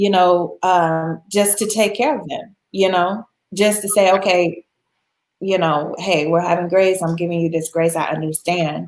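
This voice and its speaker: Words come at a fairly slow pace. An American accent is heard. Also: woman, fairly low pitch for a woman. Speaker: travel expert guest. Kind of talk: casual interview chat. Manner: animated.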